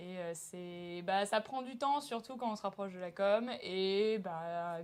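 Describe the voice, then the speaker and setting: With a plain, everyday voice, this woman holds a medium pitch that varies in an ordinary way. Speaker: student actor. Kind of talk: interview.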